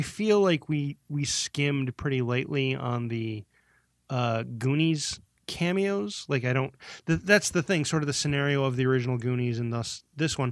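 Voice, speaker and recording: At a fairly high pitch with ordinary pitch variation, a man talks at a moderate pace in a normal speaking voice. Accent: American. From US Midwest. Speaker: podcast co-host. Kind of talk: casual chat.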